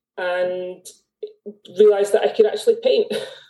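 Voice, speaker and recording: In a Scottish accent, a woman talks at a fairly quick pace. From Scotland. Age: 40s. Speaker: artist, former accountant. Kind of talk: casual interview chat. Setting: video call.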